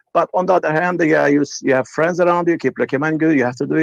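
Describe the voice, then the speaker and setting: Spoken very fast in a Turkish accent, the voice shows ordinary pitch variation and has a dry, close sound with no echo. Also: man. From Turkey. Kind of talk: call-in conversation. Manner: halting.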